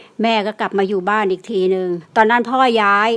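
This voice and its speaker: A woman talks at a medium pitch with flat, monotone intonation. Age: old. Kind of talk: personal ghost story told to listeners.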